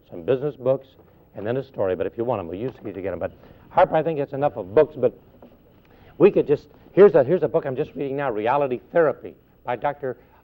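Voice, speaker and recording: Talking at a very fast pace, a man with a fairly high pitch and vocal fry uses lively intonation, big swings in loudness and long, frequent pauses. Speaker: motivational speaker. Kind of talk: radio interview. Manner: animated.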